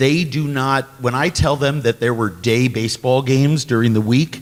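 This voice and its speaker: A man with an ordinary speaking voice talks at a moderate pace, at a medium pitch with ordinary pitch variation. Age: 60s. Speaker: panelist. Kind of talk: panel discussion.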